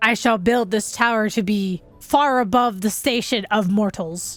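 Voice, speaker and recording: Using a put-on character voice, a woman speaks at a fairly high pitch and moderate pace while music plays in the background. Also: ordinary pitch variation. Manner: pompous, grandiose.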